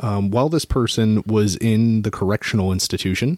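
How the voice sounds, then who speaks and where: Recorded with a dry, close sound with no echo, a plain, everyday voice moves at a fairly quick pace with ordinary pitch variation. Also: man. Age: 30s. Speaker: podcast co-host. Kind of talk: casual chat.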